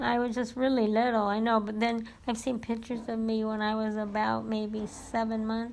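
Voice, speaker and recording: Speaking in an American accent, a woman with a fairly high pitch talks at a moderate pace with hardly any pauses and monotone, flat intonation. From California, US. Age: 60s. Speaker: family member interviewed about her life. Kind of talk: oral history interview.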